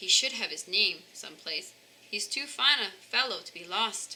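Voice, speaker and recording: A woman performs a put-on character voice. It sits at a fairly high pitch and moves at a moderate pace. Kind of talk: bedtime story. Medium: read story. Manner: warm, enthusiastic.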